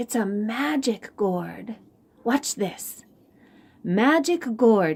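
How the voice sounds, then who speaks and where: A woman performs a put-on character voice at a very slow pace. She takes long, frequent pauses. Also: fairly high pitch for a woman. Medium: read story.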